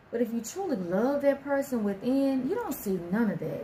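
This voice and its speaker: Noticeable background noise is present. A woman talks at a moderate pace, her pitch swinging very widely. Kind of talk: casual talk to camera.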